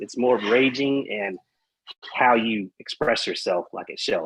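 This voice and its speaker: A man with a slight Texas accent. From Texas, Amarillo. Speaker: metal podcast guest. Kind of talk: casual chat. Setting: live-streamed podcast.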